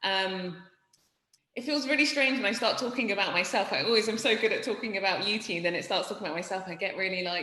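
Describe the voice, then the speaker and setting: Very fast speech from a woman with a British accent, medium pitch and ordinary pitch variation, against audible room echo. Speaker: startup founder and CEO. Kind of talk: interview.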